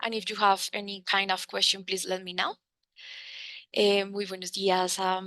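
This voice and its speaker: The tone is bright and sharp, with monotone, flat intonation. The pace is moderate, broken by long, frequent pauses. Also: woman, medium pitch for a woman. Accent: Spanish. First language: Spanish. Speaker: researcher presenting. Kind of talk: presentation.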